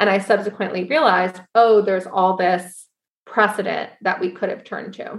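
A woman with an American accent and an unremarkable speaking voice, medium in pitch, at a moderate pace, with fairly even intonation and big swings in loudness. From US Northeast, Syracuse, New York. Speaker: cooperative co-founder. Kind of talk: interview conversation.

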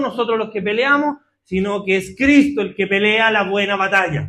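A man with a high pitch and a bright, sharp tone speaks in a raised, projected voice at a moderate pace. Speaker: preacher. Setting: church with congregation. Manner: animated, fervent, with a direct, urgent appeal to the congregation; conversational and playful, with humorous asides and call-and-response.

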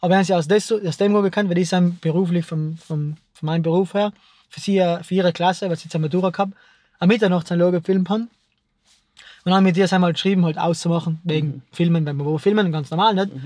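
A man talks at a very fast pace in a high pitch. The recording is very clean, with a silent background. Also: fairly even intonation. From South Tyrol. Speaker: filmmaker. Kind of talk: casual chat.

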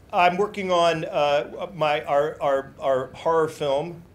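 Noticeable background noise runs behind the recording. A man speaks at a fairly slow pace. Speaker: singer. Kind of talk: interview.

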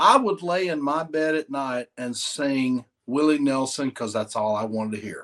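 Someone speaks with a Southern US accent at a moderate pace, hardly pausing at all. The pitch varies in an ordinary way against a quiet background. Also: man, fairly high pitch for a man. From Mississippi. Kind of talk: casual interview chat.

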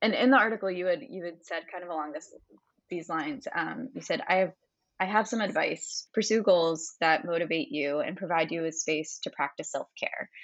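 With a normal speaking voice at medium pitch, a woman talks at a moderate pace with lively intonation. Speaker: podcast co-host. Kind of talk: casual interview chat.

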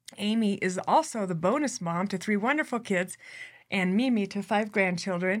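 A woman with an unremarkable speaking voice at medium pitch, a moderate pace and ordinary pitch variation. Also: very clean recording, silent background. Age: 40s. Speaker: leadership podcast host. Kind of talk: interview.

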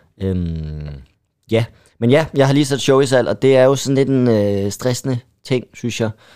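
In a very clean recording with a silent background, a man with a dark, mellow tone and medium pitch speaks fairly slowly with lively intonation. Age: 20s. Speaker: stand-up comedian. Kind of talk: casual chat.

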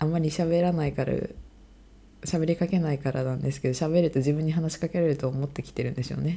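A woman talks at a very fast pace in a very deep, low pitch. Her tone is dark, mellow and somewhat breathy, and her intonation fairly even. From Sendai, Japan. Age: 20s. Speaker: medical student, podcast co-host. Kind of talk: casual chat.

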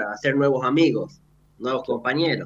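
This is a man with a normal speaking voice. His pitch is medium and his intonation fairly even. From Argentina, Santiago del Estero (Frías). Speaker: medical student. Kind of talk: radio interview. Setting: remote link into radio studio.

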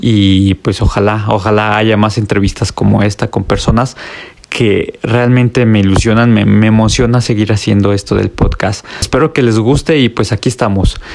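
Against noticeable background noise, a man with a central Mexican accent speaks at a moderate pace and a fairly low pitch, with fairly even intonation and very even loudness. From Mexico, León, Guanajuato. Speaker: podcast host. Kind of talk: show intro; casual interview.

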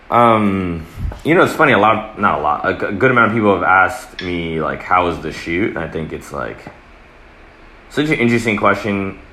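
With a fairly low pitch and lively intonation, a man talks at a fairly quick pace over noticeable background noise and audible room echo. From US, born in Atlanta to Eritrean parents. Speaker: photographer. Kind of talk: casual chat.

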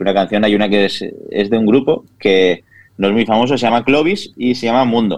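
This man has an unremarkable speaking voice with a fairly low pitch. He talks at a moderate pace with ordinary pitch variation. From Spain, Castellón (Vila-real). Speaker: chef and food influencer. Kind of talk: interview.

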